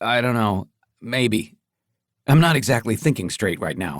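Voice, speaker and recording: A man's raspy, put-on character voice at a medium pitch, with lively intonation and a moderate pace. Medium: read story.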